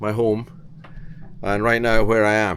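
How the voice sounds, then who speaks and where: This man has a Scottish accent. He speaks at a fairly slow pace. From Scotland. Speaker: vlogger and sailor. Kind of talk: casual vlog monologue. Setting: on a boat.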